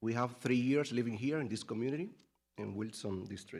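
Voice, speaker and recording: A man speaks with a Spanish accent. His pitch varies in an ordinary way. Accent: Spanish accent, non-native English. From Latin America. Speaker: parent giving public comment. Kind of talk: public comment speech. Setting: school board meeting.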